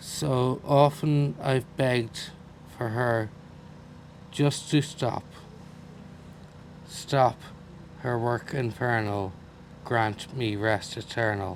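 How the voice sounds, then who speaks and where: In an Irish accent, a man talks at a very slow pace with long, frequent pauses, a medium pitch and ordinary pitch variation. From Ireland. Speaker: poet. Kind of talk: poetry reading.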